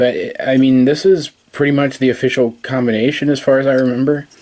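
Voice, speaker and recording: A man at a fairly quick pace, his intonation fairly even, over noticeable background noise. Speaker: toy reviewer. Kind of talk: tutorial. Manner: halting.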